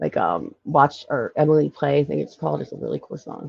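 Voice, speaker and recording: A woman talks at a moderate pace with a slight Philadelphia accent. The sound is dry and close, with no echo. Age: 40s. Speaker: live stream host. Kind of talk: casual chat. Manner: halting.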